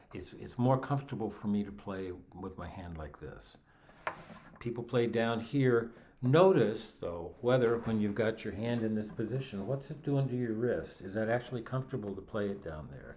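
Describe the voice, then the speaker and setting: Amid audible room echo, a man speaks at a moderate pace with big swings in loudness. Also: medium pitch for a man, ordinary pitch variation. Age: 70s. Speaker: guitar teacher. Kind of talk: tutorial. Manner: halting.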